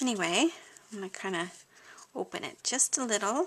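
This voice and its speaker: A woman is speaking at a moderate pace. Her intonation is lively. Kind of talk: tutorial. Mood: cheerful, enthusiastic.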